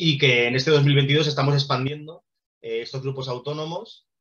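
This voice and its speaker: Speaking at a fairly quick pace, the man has a fairly high pitch. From Spain, Barcelona. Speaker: documentary project co-founder. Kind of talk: presentation talk. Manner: fast; hesitant, many fillers.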